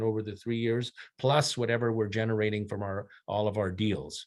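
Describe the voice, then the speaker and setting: The speaker is a man with an ordinary speaking voice. He talks at medium pitch and a moderate pace. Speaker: mining company executive. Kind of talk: investor presentation.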